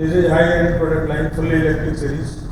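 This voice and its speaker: A man speaks with a fairly high pitch. There's noticeable background noise and audible echo in the room. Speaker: industry speaker presenting machinery. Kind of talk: technical product presentation. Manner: fast.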